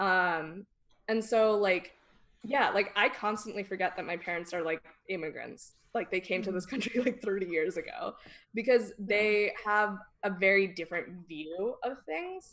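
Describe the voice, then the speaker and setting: With a Californian accent, a woman speaks at a fairly slow pace. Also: medium pitch for a woman, ordinary pitch variation. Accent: Californian Valley. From Northern California. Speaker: podcast guest. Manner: casual, uses 'like' a lot.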